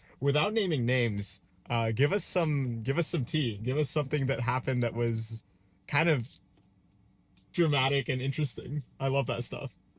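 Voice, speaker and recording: Somewhat breathy and medium in pitch, a man's voice moves at a moderate pace with ordinary pitch variation. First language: French. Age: 20s. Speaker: podcast host. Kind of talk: casual interview. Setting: in a car.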